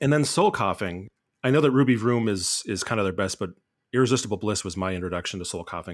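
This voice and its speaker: The recording is very clean, with a silent background. A man is the speaker. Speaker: amateur DJ panelist. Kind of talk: casual chat.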